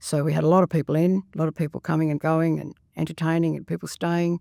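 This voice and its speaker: With an Australian accent, a woman speaks fairly quickly in a very deep, low pitch and a dark, mellow tone, on a very clean recording with a silent background and a dry, close sound with no echo. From Australia, Sydney. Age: 70s. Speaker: retired school worker and grandmother. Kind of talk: podcast interview. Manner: hesitant, many fillers.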